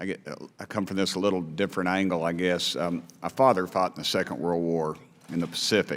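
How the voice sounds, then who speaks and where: A man with an East Tennessee accent speaks fairly quickly in a very deep, low voice with fairly even intonation. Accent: Southern US, East Tennessee. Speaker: congressman. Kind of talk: committee hearing questioning. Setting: congressional hearing room. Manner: halting.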